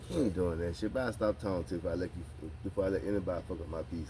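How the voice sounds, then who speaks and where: A man with an American accent speaks very fast, his pitch very deep and low with ordinary variation. His tone is dark and mellow, and somewhat breathy. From Tampa, Florida (Hillsborough County). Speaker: podcast host. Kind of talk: casual chat. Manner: animated.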